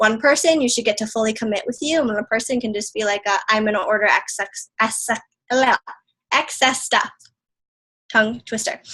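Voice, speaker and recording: A bright, sharp tone comes with ordinary pitch variation and long, frequent pauses. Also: woman, fairly high pitch for a woman. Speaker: fitness business coach. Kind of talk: coaching talk on video call. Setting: video call. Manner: fast.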